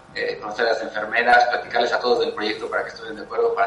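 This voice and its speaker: Noticeable noise fills the background while a man talks amid audible room echo. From Mexico City. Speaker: photographer. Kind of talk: interview. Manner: halting, many fillers and repetitions.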